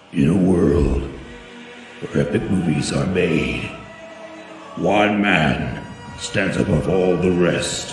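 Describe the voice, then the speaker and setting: A man speaks at a very slow pace with a very deep, low pitch and ordinary pitch variation. Clear music plays in the background, and room echo is audible. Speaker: voice actor. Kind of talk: movie trailer.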